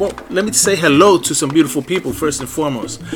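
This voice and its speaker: A man amid noticeable background noise. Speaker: radio DJ. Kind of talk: radio show hosting, upbeat DJ patter with event announcements. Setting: internet radio studio. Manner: animated, energetic, enthusiastic; casual, warm, catchphrase-heavy, bilingual English and Spanish.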